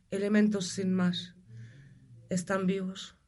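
A woman speaks at a very slow pace, sounding somewhat breathy. Room echo is audible. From Germany. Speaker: energy healer. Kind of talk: interview.

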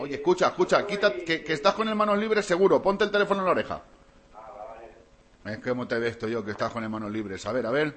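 Over noticeable background noise, an animated man speaks very fast, with very wide pitch swings and big swings in loudness. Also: fairly high pitch for a man. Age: 40s. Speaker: radio host. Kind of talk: morning radio show chat. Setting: studio.

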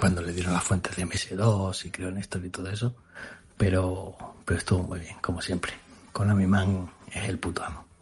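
With very deep, low pitch and a monotone, flat intonation, a man talks at a moderate pace, his loudness swinging widely over noticeable background noise. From Extremadura, Spain. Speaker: retro computer enthusiast. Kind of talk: recorded voice message.

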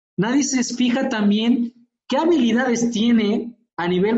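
A man talks with an animated tone and a high pitch. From Mexico. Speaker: physiotherapist and lecturer. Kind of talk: interview conversation.

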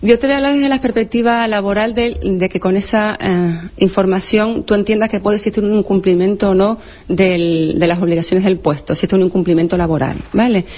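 A woman's medium-pitched, fairly quick speech with hardly any pauses, ordinary pitch variation and very even loudness, set against noticeable background noise. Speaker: labour law expert. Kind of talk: radio interview explaining law. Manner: fast.

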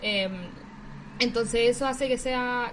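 Audible room echo surrounds a woman with a high pitch who speaks in a Chilean accent. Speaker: podcast co-host. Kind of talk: casual chat.

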